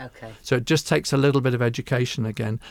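In a very clean recording with a silent background, a man with a medium pitch talks at a very fast pace in a southern English accent. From England, Hertfordshire. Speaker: chiropractor. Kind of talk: interview.

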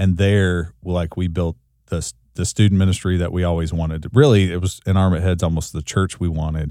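The tone is dark and mellow, the pace fairly quick. It is a very clean recording with a silent background. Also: man, very deep, low pitch for a man. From US South, rural Kentucky. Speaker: church leadership trainer and former pastor. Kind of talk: interview. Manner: animated.

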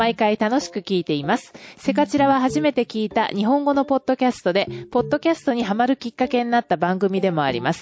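A woman talks very fast at a fairly high pitch with lively intonation. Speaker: podcast host. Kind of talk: casual chat. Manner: loud; laughs often.

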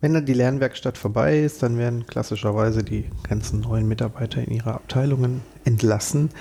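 A man's somewhat breathy voice with a dark, mellow tone, at a fairly quick pace and with ordinary pitch variation. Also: medium pitch for a man. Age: 40s. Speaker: podcast host, bank employee. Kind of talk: podcast interview.

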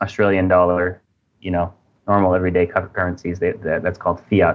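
With an American accent, a man speaks in a very deep, low voice with monotone, flat intonation. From USA. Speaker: crypto platform editor. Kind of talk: podcast interview.

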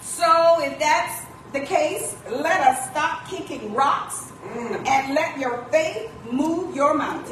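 The speech moves at a very slow pace with ordinary pitch variation. There is noticeable background noise and audible room echo. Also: woman, high pitch for a woman. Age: old. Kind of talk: church announcements. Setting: church.

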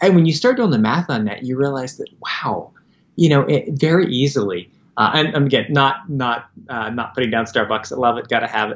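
A normal speaking voice from a man with an American accent, medium pitch, ordinary pitch variation and a fairly quick pace. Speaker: nonprofit founder. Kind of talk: interview, casual conversation.

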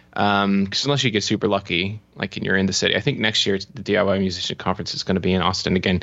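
A man is speaking here. His pitch is fairly low. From Florida, US. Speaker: musician and music business coach. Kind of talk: podcast interview. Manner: animated, casual.

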